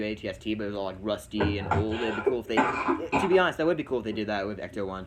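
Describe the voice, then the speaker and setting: Very fast speech from a fairly low-pitched man, with noticeable background noise. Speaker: movie YouTuber. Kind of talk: casual chat. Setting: livestream. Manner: animated.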